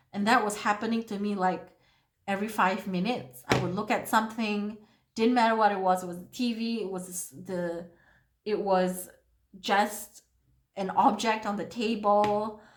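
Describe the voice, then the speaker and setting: This woman talks at a medium pitch in a monotone, flat delivery. Audible room echo surrounds her voice. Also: moderate pace, big swings in loudness. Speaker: beauty vlogger. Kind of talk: makeup tutorial with casual chat. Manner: halting.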